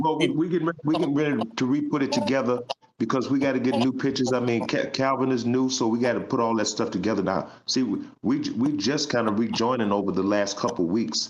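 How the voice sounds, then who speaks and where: Speaking at a very fast pace with a medium pitch and ordinary pitch variation, a man keeps his loudness very even against audible room echo and noticeable background noise. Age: 60s. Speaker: vocal group singer. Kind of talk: casual interview chat.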